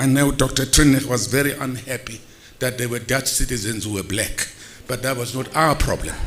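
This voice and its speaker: A man talks at a fairly quick pace with noticeable background noise. His pitch is medium and his intonation fairly even. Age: 70s. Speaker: theatre veteran and former director. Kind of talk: tribute speech.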